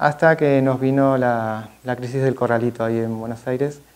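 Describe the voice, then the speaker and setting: A man's voice, in a monotone, flat intonation. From Argentina, Mar del Plata. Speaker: photographer / artist. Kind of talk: masterclass talk. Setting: museum event with audience. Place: classroom. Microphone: podium.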